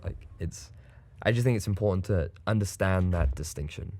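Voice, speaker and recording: Over a very clean recording with a silent background, a man with a very deep, low pitch and vocal fry talks at a moderate pace with lively intonation. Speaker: esports caster. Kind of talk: casual interview chat.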